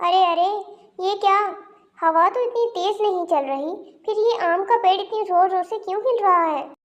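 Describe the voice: A woman puts on a cartoonish character voice at an extremely high pitch, speaking at a moderate pace.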